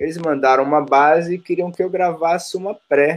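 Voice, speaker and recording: A man's high-pitched voice at a moderate pace. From Brazil, ABC Paulista (São Paulo). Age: 40s. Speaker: percussionist. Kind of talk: casual chat.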